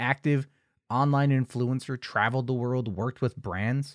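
In a normal speaking voice at medium pitch and a moderate pace, a man is heard on a very clean recording with a silent background and a dry, close sound with no echo. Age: 30s. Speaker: true crime podcast host. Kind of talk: casual podcast monologue.

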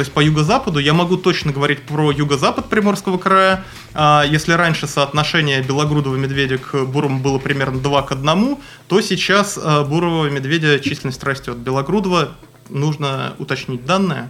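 The speech moves at a fairly quick pace with ordinary pitch variation and very even loudness. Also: man, fairly high pitch for a man. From Moscow, Russia. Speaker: wildlife researcher. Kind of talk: interview. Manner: halting with many fillers.

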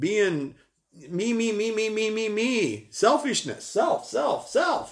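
This man's voice sits high in pitch. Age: 50s. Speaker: lay Bible teacher. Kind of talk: live-streamed Bible lesson. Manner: casual, halting with fillers.

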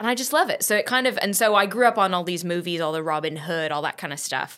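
A woman with an American accent speaks at a fairly quick pace and a fairly low pitch, with lively intonation. It is a plain, everyday voice in a very clean recording with a silent background. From US, San Diego (born in England, moved at five). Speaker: musical theatre performer. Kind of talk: casual chat.

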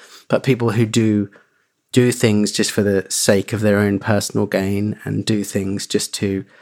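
A man's voice, monotone and flat in intonation. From East Anglia, England (Suffolk). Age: 30s. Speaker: rock musician and business owner. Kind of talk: casual chat.

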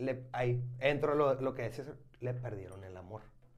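A somewhat breathy man speaking at a fairly slow pace. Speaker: beer podcast host. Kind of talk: casual chat.

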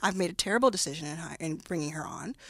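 Here a woman talks at a very fast pace with an American accent. Her pitch varies in an ordinary way. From US South, Dallas, Texas. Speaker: venture capitalist. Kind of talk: interview.

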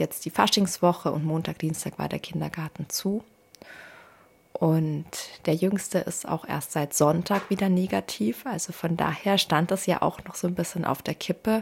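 On a very clean recording with a silent background, a somewhat breathy voice speaks at a fairly slow pace with ordinary pitch variation. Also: woman. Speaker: podcast host, mother and spiritual coach. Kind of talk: personal monologue, unscripted. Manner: free-flowing, conversational.

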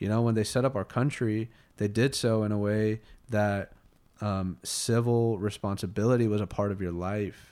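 A man with an American accent speaks at a moderate pace in a fairly low pitch, his dark, mellow tone carried by fairly even intonation on a very clean recording with a silent background. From Colorado. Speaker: business founder. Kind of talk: casual chat.

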